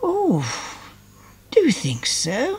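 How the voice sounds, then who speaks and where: Someone uses a put-on character voice. It sits at a high pitch. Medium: read story. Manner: stammering, shy.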